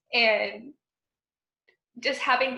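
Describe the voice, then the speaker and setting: A woman talks at a high pitch with audible room echo around her. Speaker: job candidate for teaching post. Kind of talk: job interview over video call.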